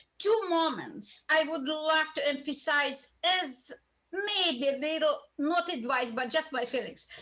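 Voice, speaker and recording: A woman with a Russian accent projects a raised voice at a high pitch and fairly slow pace, with ordinary pitch variation. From Russia, Moscow. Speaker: voice teacher, audience member. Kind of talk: audience comment in panel Q&A.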